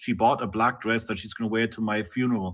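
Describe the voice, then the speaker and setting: A man with a non-native accent. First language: not English. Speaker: interviewee. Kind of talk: live-streamed interview. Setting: live stream.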